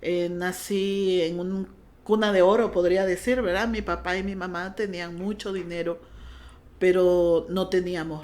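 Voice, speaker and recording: A woman speaks in a Honduran accent at a fairly slow pace. Her intonation is monotone and flat. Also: medium pitch for a woman. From Honduras. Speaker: pastor. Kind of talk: testimony.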